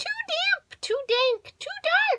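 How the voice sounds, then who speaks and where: A woman does a put-on character voice, squeaky and extremely high in pitch. The sound is dry and close, with no echo. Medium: read story.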